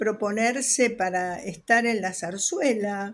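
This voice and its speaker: A woman with fairly high pitch, ordinary pitch variation and a very slow pace. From Argentina, Rosario (moved from Buenos Aires at seven). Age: 70s. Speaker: retired dance teacher. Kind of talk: interview testimony. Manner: hesitant, with fillers.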